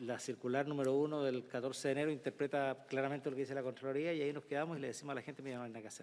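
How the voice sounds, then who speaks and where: Talking at a very fast pace, a man uses a fairly high pitch with fairly even intonation. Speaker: senator. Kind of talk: committee hearing remarks. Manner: halting, with fillers.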